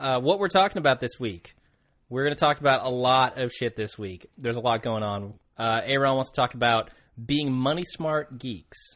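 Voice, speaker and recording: This man has a normal speaking voice at a medium pitch with ordinary pitch variation. His pace is moderate. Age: 20s. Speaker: podcast co-host. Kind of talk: casual chat.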